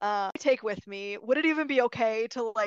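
Against a quiet background with a dry, close sound and no echo, a woman with an American accent uses an unremarkable speaking voice at a fairly high pitch, with ordinary pitch variation and a moderate pace. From Michigan, US. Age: 20s. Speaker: aerospace engineer, podcast guest. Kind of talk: casual interview.

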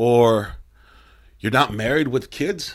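Recorded very cleanly against a silent background, the speaker uses an animated tone and ordinary pitch variation with an American accent. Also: man. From Mexico, raised in US. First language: Spanish. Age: 30s. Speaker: metal band musician. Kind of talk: casual interview. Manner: animated, profane.

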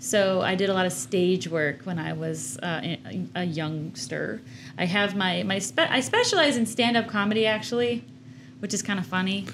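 Speaking at a moderate pace with an American accent, a woman at medium pitch uses very wide pitch swings and shows vocal fry. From Chicago, US Midwest. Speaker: art director and co-host. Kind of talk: casual chat. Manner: playful, laughing.

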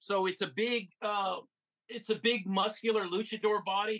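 A man speaks in a high pitch with a bright, sharp tone. His voice is raised and projected, and his intonation stays fairly even. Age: 50s. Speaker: toy collector and seller. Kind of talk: casual chat.

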